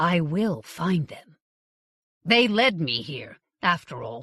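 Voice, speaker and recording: A woman puts on a raspy character voice at a fairly low pitch with very wide pitch swings. Her loudness swings widely too. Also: fairly slow pace. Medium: read story. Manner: self-assured, persuasive.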